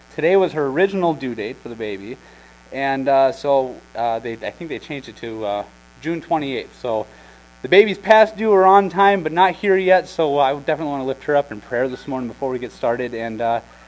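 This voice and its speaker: The speech moves at a fairly quick pace with big swings in loudness. Music plays in the background. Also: man. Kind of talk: announcements and prayer. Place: church.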